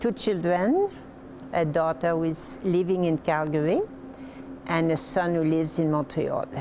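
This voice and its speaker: A woman with a French Canadian accent speaks at a moderate pace in a fairly low pitch, with ordinary pitch variation, very even loudness, long, frequent pauses and noticeable background noise. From Quebec, Lower Saint Lawrence. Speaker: retired hospital administrator. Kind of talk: interview.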